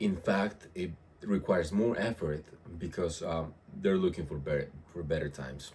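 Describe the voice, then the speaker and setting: A man speaks with a very deep, low pitch and ordinary pitch variation. His voice is somewhat breathy. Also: moderate pace. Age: 30s. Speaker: fitness vlogger. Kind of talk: casual vlog monologue. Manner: halting, many fillers and repetitions. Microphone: no external microphone, built-in audio.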